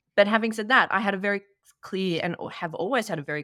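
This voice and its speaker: A woman with an Australian accent speaks in a bright, sharp tone with ordinary pitch variation, recorded very cleanly against a silent background with a dry, close sound and no echo. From Australia, Sydney. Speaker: workplace consultant. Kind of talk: casual chat.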